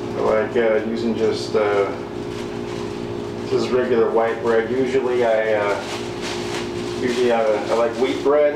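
A man speaks at a fairly slow pace. Room echo and loud background noise are both audible. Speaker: home cook vlogger. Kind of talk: casual cooking tutorial. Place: kitchen. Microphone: camera far.

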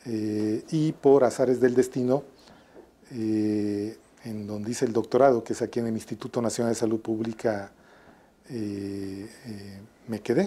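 At a fairly slow pace and a medium pitch, a man speaks with a dark, mellow tone, fairly even intonation and long, frequent pauses. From Mexico, Atlixco, Puebla; Puebla, Mexico. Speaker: public health physician and researcher. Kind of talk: interview. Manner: hesitant, many fillers; formal. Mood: warm, reminiscing. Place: office. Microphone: lapel.

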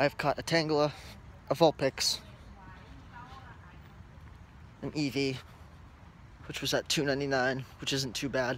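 This man's intonation stays fairly even. The sound is dry with no echo, and there's light background noise. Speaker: vlogger. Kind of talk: casual vlog chat. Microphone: earbuds.

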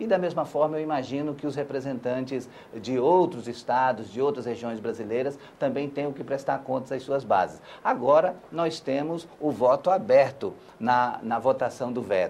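His pitch varies in an ordinary way. The man talks at a moderate pace. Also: medium pitch for a man. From Brazil, Acre. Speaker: senator. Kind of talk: interview. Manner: hesitant, many fillers.

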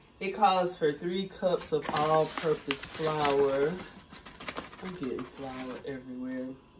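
A woman with a very deep, low voice speaks very slowly against noticeable background noise. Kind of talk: casual cooking tutorial. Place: kitchen. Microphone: phone near.

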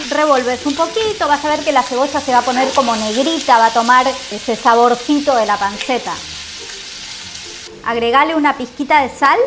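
Against noticeable background noise, a woman talks at a moderate pace with a high pitch. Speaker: cooking instructor on a call. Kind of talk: tutorial. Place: kitchen.

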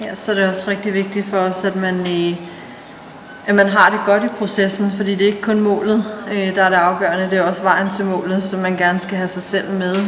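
Amid noticeable background noise and audible room echo, a woman speaks at a moderate pace in a medium pitch with monotone, flat intonation. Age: 30s. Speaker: personal trainer and fitness competitor. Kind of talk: interview.

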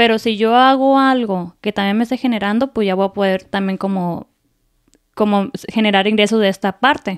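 A woman's voice shows ordinary pitch variation over a quiet background. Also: fairly high pitch for a woman, moderate pace. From Mexico (Apatzingán, Michoacán); Michoacán, Mexico. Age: 20s. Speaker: content creator and homemaker; content creator. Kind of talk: interview. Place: studio. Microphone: studio mic.

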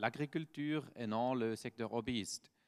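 In a Swiss German accent, a man speaks at a very slow pace. His intonation is lively, and the background is quiet. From German-speaking Switzerland. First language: Swiss German (speaking French). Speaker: startup founder and researcher. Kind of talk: conference talk; conference presentation. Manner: halting, with frequent hesitations. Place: hall.

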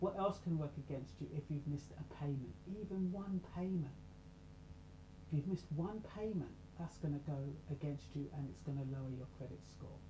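A woman speaks quietly at a moderate pace with a very deep, low pitch. Audible room echo and light background noise surround her. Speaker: self-help channel host and radio presenter. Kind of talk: casual talk to camera. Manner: low, quiet voice. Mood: calm, explanatory. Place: home room. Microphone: webcam.

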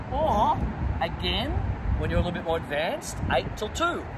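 A man speaking at a moderate pace, loud background noise around him. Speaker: tennis coach. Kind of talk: tutorial. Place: stadium.

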